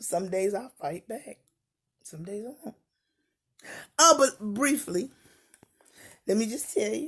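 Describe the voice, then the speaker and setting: With a fairly high pitch and very wide pitch swings, a woman speaks at a fairly slow pace. Her loudness swings widely, and she takes long, frequent pauses. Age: 60s. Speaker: YouTuber and poet. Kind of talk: casual monologue to camera. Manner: animated.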